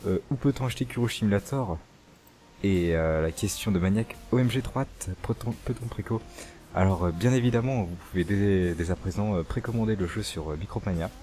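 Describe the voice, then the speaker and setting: A man's fairly low pitch with ordinary pitch variation at a moderate pace. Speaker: youtuber. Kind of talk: casual Q&A chat.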